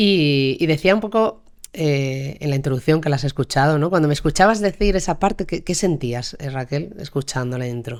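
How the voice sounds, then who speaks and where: At a moderate pace, a woman speaks with lively intonation in a very deep, low pitch. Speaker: podcast host. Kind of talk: interview conversation.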